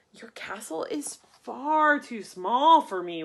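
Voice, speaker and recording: A woman's bellowing put-on character voice, high in pitch, at a fairly slow pace. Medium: read story. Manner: roaring.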